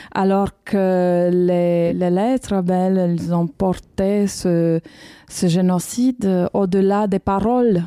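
Very slow pace from a woman at medium pitch, her dark, mellow tone kept at a very even loudness. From Romania, Bucharest. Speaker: documentary filmmaker. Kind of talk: interview. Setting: university library.

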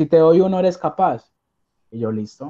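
A man speaks at a moderate pace. His tone is dark and mellow. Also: quiet background. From Colombia, Armenia; Colombia. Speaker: caregiver, immigrant; interview guest. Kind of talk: interview. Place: home room. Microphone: video call.

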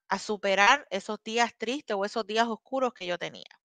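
A woman with a fairly high pitch, a bright, sharp tone and ordinary pitch variation is heard dry, with no echo, over a quiet background. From Puerto Rico (born in Ecuador). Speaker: app community member; guest. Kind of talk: interview. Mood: warm, grateful. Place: home room. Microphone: video call.

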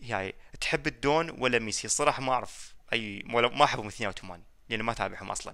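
A man's very fast, bright, sharp-toned speech with ordinary pitch variation and big swings in loudness against a quiet background. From Iraq, Baghdad; Iraq. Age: 20s. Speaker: gaming YouTuber. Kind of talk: casual Q&A reading comments. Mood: joking, teasing. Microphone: headset.

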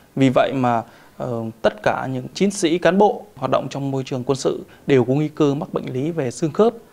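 Over noticeable background noise, a man talks at a fairly quick pace. His pitch is fairly high, and his intonation is lively. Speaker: military doctor. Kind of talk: TV interview.

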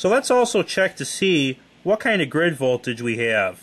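His pace is moderate. The man's pitch moves through very wide swings. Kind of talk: tutorial. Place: home room. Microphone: phone near.

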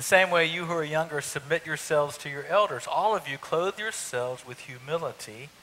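A man speaks with a fairly high pitch and a bright, sharp tone. The pace is moderate and the pitch variation ordinary.

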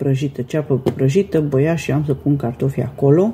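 In a very deep, low voice with a dark, mellow tone, a woman speaks somewhat breathily at a fairly slow pace. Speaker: home cooking vlogger. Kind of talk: casual vlog chat. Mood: warm, friendly. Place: kitchen. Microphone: phone near.

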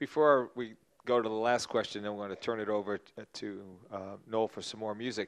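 A plain, everyday voice with an American accent, fairly quick pace, fairly even intonation and a quiet background. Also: man, fairly low pitch for a man. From New Jersey. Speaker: music museum director and interviewer; interviewer, host. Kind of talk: public interview. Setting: stage with audience. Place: stage. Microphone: handheld.

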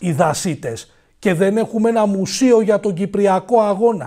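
A man's fairly slow speech comes over a quiet background. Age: 40s. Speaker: political commentator. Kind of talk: monologue commentary. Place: studio. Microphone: lapel.

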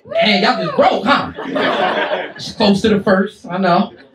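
A man's voice against noticeable background noise. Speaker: stand-up comedian. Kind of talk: stand-up comedy set, crude and profane, roasting the crowd. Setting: stage with live audience in a comedy club. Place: stage.

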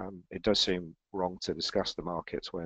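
Against a quiet background, a man speaks with a very deep, low pitch and monotone, flat intonation. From Europe, based in the eurozone. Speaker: financial analyst and editor. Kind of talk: live webinar presenting market analysis. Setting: online webinar with screen share. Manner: hesitant, many filler words.

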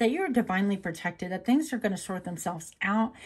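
A woman's somewhat breathy voice moves with ordinary pitch variation. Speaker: tarot card reader. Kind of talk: casual spiritual card reading. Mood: reassuring, gentle. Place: home room. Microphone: phone near.

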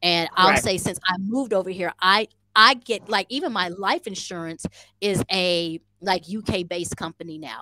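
A woman with an American accent has a bright, sharp tone, and the sound is dry with no echo. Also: ordinary pitch variation. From American living in Rwanda. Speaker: podcast guest. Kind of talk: casual, slangy. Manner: fast talker. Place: home room. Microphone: headset.

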